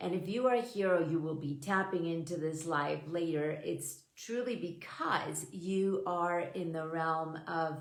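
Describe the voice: Strong room echo fills this recording of a woman with a low voice. She speaks at a fairly slow pace with ordinary pitch variation.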